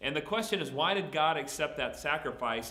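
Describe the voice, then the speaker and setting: Very wide pitch swings from a man at a fairly quick pace, with audible room echo and noticeable background noise. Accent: slight Southern US. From Texas. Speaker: pastor. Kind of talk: Bible Q&A teaching. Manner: casual, conversational.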